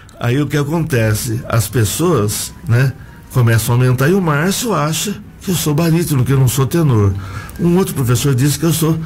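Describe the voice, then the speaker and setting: Against noticeable background noise, a man with a fairly high pitch speaks at a moderate pace with lively intonation, very even loudness, and long, frequent pauses. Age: 60s. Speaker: choir singer and teacher. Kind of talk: radio interview. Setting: radio studio.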